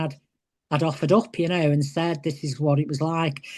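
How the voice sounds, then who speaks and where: Against a quiet background, a woman with an English accent speaks in a dark, mellow tone at a very deep, low pitch. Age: 60s. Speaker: retired professional wrestler. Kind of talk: interview.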